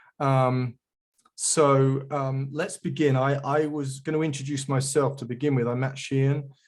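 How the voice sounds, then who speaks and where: A man with a fairly high voice talks at a fairly slow pace in a monotone, flat intonation. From England. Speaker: geospatial industry veteran, guest speaker. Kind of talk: webinar presentation. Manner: hesitant, many fillers and repeats.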